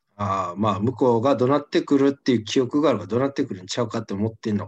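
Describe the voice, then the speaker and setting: A man with a Kansai accent talks at a very fast pace in a medium pitch with ordinary pitch variation. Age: 20s. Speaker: comedian, podcast co-host. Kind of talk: casual chat.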